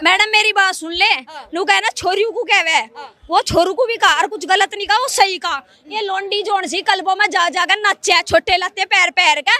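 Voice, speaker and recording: A woman's raised, projected voice at an extremely high pitch comes at a moderate pace in a dry, close sound with no echo, with noticeable background noise. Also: ordinary pitch variation. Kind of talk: street interview answer. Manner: blunt, forceful.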